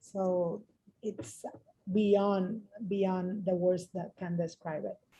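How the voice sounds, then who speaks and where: In a Spanish accent, the speaker talks at a very slow pace with fairly even intonation. The tone is dark and mellow, and somewhat breathy. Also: woman, medium pitch for a woman. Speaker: mental health worker, translator. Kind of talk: emotional testimony on video call. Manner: halting.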